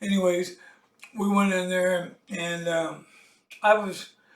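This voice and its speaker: Amid audible room echo, a man with a high pitch speaks in a monotone, flat intonation. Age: 60s. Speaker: political vlogger and musician. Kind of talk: casual monologue. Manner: halting, many fillers.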